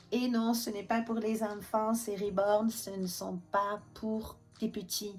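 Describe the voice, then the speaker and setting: Somewhat breathy, this voice carries fairly even intonation. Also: woman. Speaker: reborn doll maker and vlogger. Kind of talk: casual vlog chat. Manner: chatty, hesitant with many fillers.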